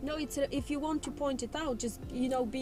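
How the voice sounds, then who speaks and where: A woman with a non-native accent speaks fairly quickly in a high voice. Her intonation stays fairly even while music plays behind her. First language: not English. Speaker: learner driver. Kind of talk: casual chat.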